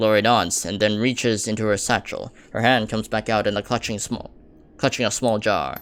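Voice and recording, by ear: The text is read aloud in a natural voice.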